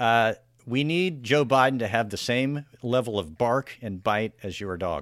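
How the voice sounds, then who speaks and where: With an unremarkable speaking voice, a man speaks at medium pitch and a fairly slow pace with lively intonation. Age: 40s. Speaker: podcast host, magazine journalist. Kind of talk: interview; casual chat.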